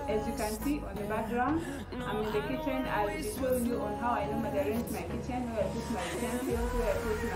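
Over loud music in the background, a woman talks at a fairly quick pace. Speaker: lifestyle vlogger. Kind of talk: casual vlog chat. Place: kitchen. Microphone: lapel.

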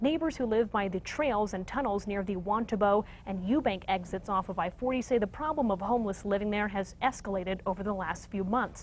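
A woman talks at a fairly quick pace in a somewhat breathy voice over light background noise. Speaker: news anchor. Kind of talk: news reading. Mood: serious. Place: studio.

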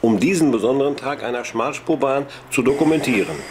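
A man's medium-pitched voice is heard alongside noticeable background noise. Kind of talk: 1960s documentary film narration, scripted and read aloud. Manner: measured, formal, even-paced newsreel tone; dry, authoritative, clearly enunciated.

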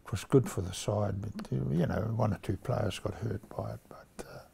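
A man with a New Zealand accent and a fairly low pitch. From New Zealand, King Country. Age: 80s+. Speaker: retired rugby player. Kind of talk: interview answer.

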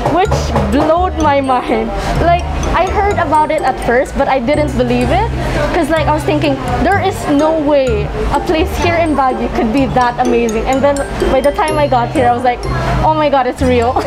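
Clear music sounds behind the voice. The woman talks at a moderate pace. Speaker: vlogger. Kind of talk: casual vlog chat. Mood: excited, enthusiastic. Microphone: phone near.

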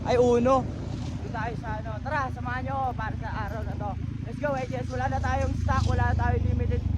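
A man is speaking amid noticeable background noise. The room echo is audible too. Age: young. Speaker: vlogger and street vendor. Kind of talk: casual vlog narration. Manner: animated.

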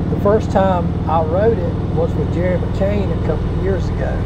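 A man talks over loud noise in the background. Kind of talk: casual ride commentary. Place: motorbike.

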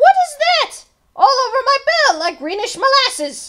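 A woman's put-on character voice, extremely high-pitched with big pitch swings, bright and sharp in tone, at a fairly slow pace

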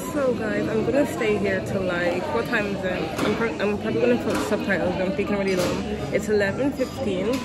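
Crowd noise fills the background as a woman speaks. She talks at a fairly quick pace with hardly any pauses. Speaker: student vlogger. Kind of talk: casual vlog chat. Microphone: phone near.

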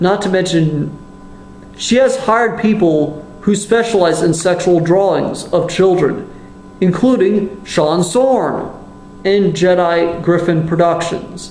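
A man with a high pitch talks at a very slow pace, his loudness very even and his pitch variation ordinary. Audible room echo and light background noise surround him. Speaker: YouTube commentator. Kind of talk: angry profanity-laced rant denouncing a fellow YouTuber. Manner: furious, disgusted outbursts with heavy swearing; halting, repeats words and restarts sentences. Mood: angry, exasperated. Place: kitchen. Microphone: webcam.

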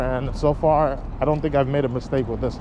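The sound is dry with no echo, and music plays in the background. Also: man. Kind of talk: casual vlog chat. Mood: relaxed, chill. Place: street. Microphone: phone near.

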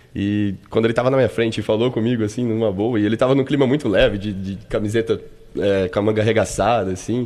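Very fast speech from a man with fairly even intonation. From Brazil, São Paulo state (Americana); São Paulo state, Brazil. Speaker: football physiotherapist; guest. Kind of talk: radio interview. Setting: radio studio. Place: studio. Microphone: studio mic.

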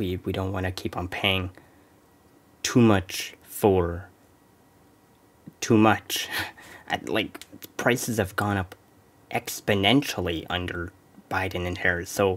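Very slow, with long, frequent pauses, a man speaks in a very deep, low voice with fairly even intonation. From Canada. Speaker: political commentary YouTuber; reaction streamer. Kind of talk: reaction commentary. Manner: casual, hesitant with fillers. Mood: mocking, amused. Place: home room.

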